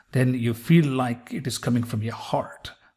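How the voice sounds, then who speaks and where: The speaker is a man with an American accent. His voice is somewhat breathy. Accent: part American, part Indian. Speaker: physician and video host. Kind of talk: pronunciation tutorial. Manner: slow, deliberate enunciation.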